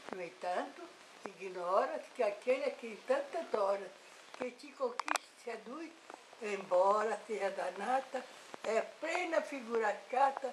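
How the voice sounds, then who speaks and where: Against noticeable background noise, a woman talks at a fairly slow pace with a fairly high pitch. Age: 80s+. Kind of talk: poetry reading.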